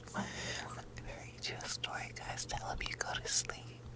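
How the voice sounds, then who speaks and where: Noticeable background noise fills the recording. Over it comes a whisper. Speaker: ASMR creator. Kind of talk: ASMR intro talk to viewer. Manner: soft-spoken.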